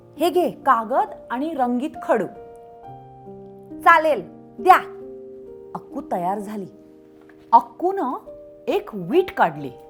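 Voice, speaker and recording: A woman's pitch swings very widely while music runs in the background. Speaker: children's storyteller. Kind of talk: children's story read-aloud. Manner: high-energy, expressive.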